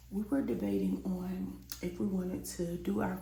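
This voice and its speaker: A woman speaks at a fairly slow pace. Audible room echo and noticeable background noise are present. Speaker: beauty vlogger. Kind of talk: storytime. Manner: casual.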